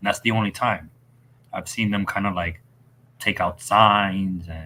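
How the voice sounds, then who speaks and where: At a fairly slow pace, a man speaks with fairly low pitch. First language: not English. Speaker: football podcast host. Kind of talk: casual chat. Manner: halting.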